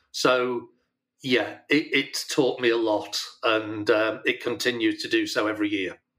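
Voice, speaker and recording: Here is a man with a Yorkshire accent. He speaks at a fairly slow pace. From Yorkshire, northern England. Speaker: retired business leader and charity organiser. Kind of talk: interview.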